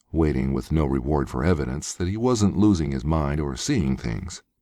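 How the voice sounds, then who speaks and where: A man speaks at a moderate pace in a very deep, low pitch. His intonation is lively. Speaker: voice actor. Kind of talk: audiobook narration. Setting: home studio.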